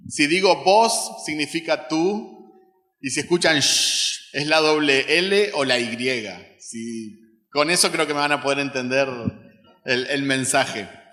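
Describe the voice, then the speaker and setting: Very slow speech from a man, fairly high in pitch, with ordinary pitch variation. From Uruguay. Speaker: missionary, guest preacher. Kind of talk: sermon. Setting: church service with congregation.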